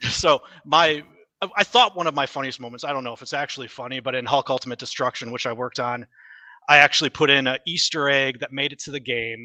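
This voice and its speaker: A man's medium-pitched voice in an American accent at a very fast pace, with fairly even intonation, big swings in loudness and a dry, close sound with no echo. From US Midwest, Wisconsin. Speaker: game developer. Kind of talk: casual chat.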